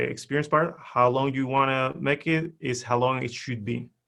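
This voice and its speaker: A man speaks with a Spanish accent. His pitch is fairly high and his pace moderate. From Spain. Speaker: LinkedIn profile expert. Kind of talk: webinar presentation.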